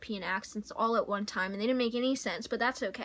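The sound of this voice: What you hear is an unforced reading voice.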